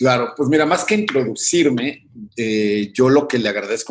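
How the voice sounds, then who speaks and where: A man talks at a moderate pace with an ordinary speaking voice. His pitch variation is ordinary. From Mexico. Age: 40s. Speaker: composer and musician. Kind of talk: interview.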